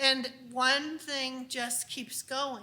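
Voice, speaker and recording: Her voice raised and projected, a woman speaks at a high pitch. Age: 60s. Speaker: unschooling speaker. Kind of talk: conference talk. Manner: conversational.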